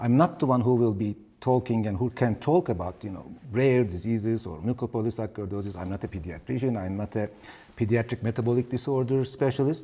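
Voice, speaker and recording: A man talks at a very fast pace in a medium pitch, his tone dark and mellow, somewhat breathy, with ordinary pitch variation. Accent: non-native. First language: Turkish. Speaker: pediatric ENT surgeon, professor. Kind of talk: webinar lecture. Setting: webinar.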